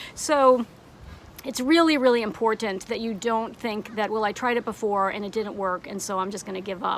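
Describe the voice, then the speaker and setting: There is noticeable background noise behind this woman. She speaks at a moderate pace with a fairly high voice and ordinary pitch variation. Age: 60s. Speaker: online art teacher. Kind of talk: motivational talk to camera. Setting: outdoors on a deck.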